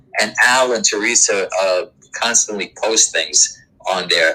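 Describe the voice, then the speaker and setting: Noticeable background noise accompanies a man talking with an American accent. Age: 70s. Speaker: doo-wop singer. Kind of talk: interview. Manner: halting.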